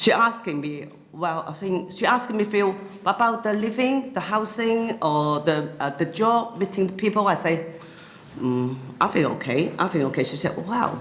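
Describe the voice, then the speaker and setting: Over noticeable background noise, a woman speaks in a Cantonese accent at a moderate pace. Her medium pitch swings very widely. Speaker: YouTuber. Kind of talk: interview. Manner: halting, many fillers.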